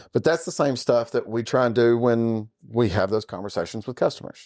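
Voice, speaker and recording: On a very clean recording with a silent background, a man with a Southern accent speaks at a moderate pace. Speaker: podcast host. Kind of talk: casual chat. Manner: conversational.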